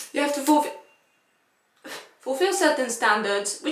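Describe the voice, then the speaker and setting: There is audible room echo as a woman speaks with a non-native accent. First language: not English. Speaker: violinist. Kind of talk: casual chat. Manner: halting.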